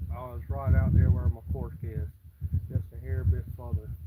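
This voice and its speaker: There is noticeable background noise as a man speaks at a moderate pace. His pitch is very deep and low, and he has a Southern US accent. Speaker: fishing livestreamer. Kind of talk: live stream chat while fishing.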